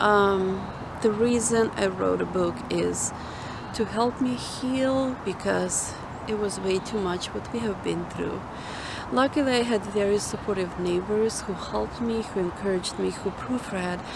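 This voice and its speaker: Speaking at a fairly slow pace with a non-native accent, a woman uses a medium pitch and ordinary pitch variation, with audible room echo and noticeable background noise. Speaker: mother. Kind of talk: testimony. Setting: outdoors.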